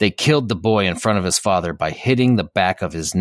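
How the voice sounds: In a natural reading voice, the speaker uses ordinary pitch variation.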